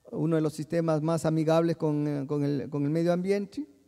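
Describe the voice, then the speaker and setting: His voice is fairly high-pitched for a man, with a dark, mellow tone. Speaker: soil science professor. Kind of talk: conference lecture. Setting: conference hall, livestreamed. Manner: halting, many fillers and repetitions; mixes Portuguese and Spanish.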